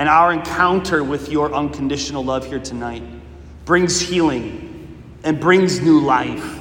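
A man's fairly high voice with a warm tone, fairly slow pace, ordinary pitch variation and noticeable background noise. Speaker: prayer leader. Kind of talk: fervent prayer, devotional. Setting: church chapel, Eucharistic adoration. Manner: earnest, pleading, impassioned; warm, conversational, reverent.

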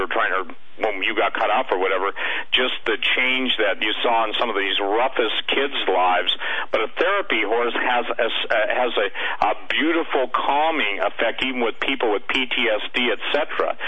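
With ordinary pitch variation and very even loudness, a man talks at a moderate pace over noticeable background noise. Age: 60s. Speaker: author and radio commentator. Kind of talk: radio interview.

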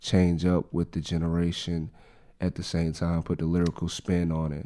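A man talks at a moderate pace with a very deep, low pitch and a dark, mellow tone. His intonation is monotone and flat in a very clean recording with a silent background. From South Carolina (Dillon). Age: 30s. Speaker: rapper. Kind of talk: interview.

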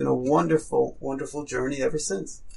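A man with a New York accent over noticeable background noise. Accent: New York American. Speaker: rabbi and school head. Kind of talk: interview.

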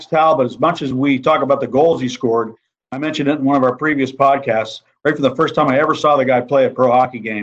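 A man with a normal speaking voice, fairly high pitch, ordinary pitch variation and a fairly quick pace. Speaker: hockey broadcaster. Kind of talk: casual chat.

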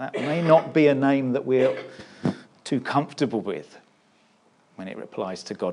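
At a moderate pace, a man of medium pitch talks in a plain, everyday voice. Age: 50s. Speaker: pastor. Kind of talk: sermon. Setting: church service held in a canteen.

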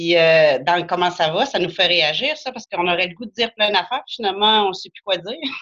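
A woman with a bright, sharp tone speaks at medium pitch and a moderate pace, with ordinary pitch variation. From Quebec, Beauce. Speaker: guest friend. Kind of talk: casual chat.

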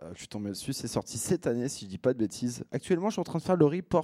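Dark and mellow in tone, the voice comes through dry and close with no echo, on a very clean recording with a silent background. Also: man. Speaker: radio host. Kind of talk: radio DJ show. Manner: casual, relaxed.

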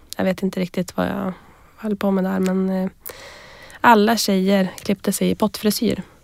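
A woman of medium pitch speaks in a monotone, flat intonation with long, frequent pauses, on a very clean recording with a silent background and a dry, close sound with no echo. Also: moderate pace. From northern Sweden, Västerbotten. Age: 20s. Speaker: entrepreneur, company founder. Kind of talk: interview.

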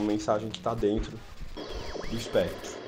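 Medium-pitched male speech at a moderate pace, with noticeable background noise. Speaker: filmmaker. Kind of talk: personal account.

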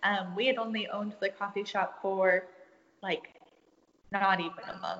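Noticeable background noise sits behind a woman with an American accent. She speaks at a moderate pace with a fairly high pitch and fairly even intonation. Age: 20s. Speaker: small business owner and photographer. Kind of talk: casual interview. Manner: hesitant with fillers.

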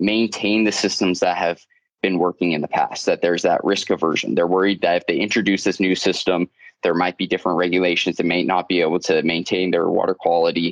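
This man has a very deep, low voice with fairly even intonation, recorded dry and close with no echo. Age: 20s. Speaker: mining engineer and consultant. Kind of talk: interview. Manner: halting, repeats words.

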